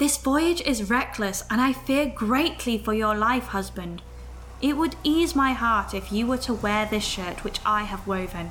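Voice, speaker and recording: Noticeable background noise can be heard throughout. Over it, a woman talks at a fairly slow pace. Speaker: voice actor playing a character. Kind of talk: full-cast saga performance.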